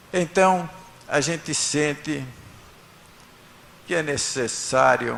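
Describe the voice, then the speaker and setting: In a room with audible echo, a man speaks at a very slow pace, his fairly high voice following fairly even intonation. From northern Paraná, Brazil. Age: 70s. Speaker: honoree. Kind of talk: acceptance speech. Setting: city council chamber with audience. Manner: halting.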